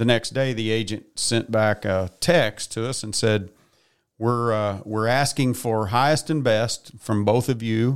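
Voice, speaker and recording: Delivered at a fairly slow pace, a man's normal speaking voice holds a medium pitch and fairly even intonation. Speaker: auctioneer guest. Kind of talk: casual chat.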